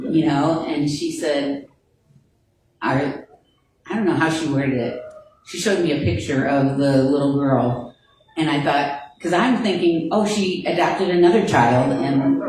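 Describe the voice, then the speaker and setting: A woman with a very deep, low voice speaks at a fairly slow pace with lively intonation. Her pauses are long and frequent. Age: 70s. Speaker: church class member. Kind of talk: church class discussion.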